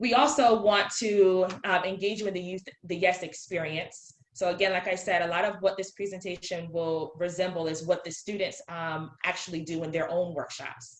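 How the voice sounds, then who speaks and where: A woman speaks at medium pitch with ordinary pitch variation and hardly any pauses. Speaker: educator. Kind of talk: virtual presentation. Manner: fast; animated.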